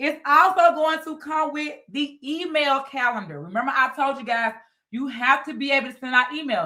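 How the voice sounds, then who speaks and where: A woman's high, raised, projected voice, bright and sharp in tone and animated, at a moderate pace with ordinary pitch variation and big swings in loudness. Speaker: business coach. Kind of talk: live webinar sales pitch. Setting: livestream with Zoom participants.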